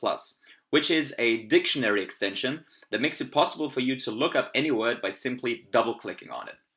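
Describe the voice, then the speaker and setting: A man's medium-pitched voice at a fairly quick pace, quiet background. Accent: German. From Austria. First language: German. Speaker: language learning youtuber. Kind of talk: tutorial. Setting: at home computer, screen recording.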